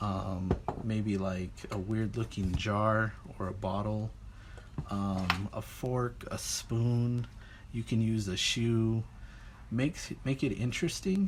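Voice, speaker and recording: In a somewhat breathy, fairly low voice, a man speaks with fairly even intonation amid audible room echo. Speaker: art teacher. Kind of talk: lecture.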